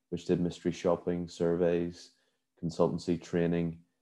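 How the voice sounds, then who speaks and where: In a Northern Irish accent, a man talks at a moderate pace with a very deep, low pitch. His tone is dark and mellow, and the background is quiet. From Northern Ireland, Belfast. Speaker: events company CEO. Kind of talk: interview. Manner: hesitant, many fillers.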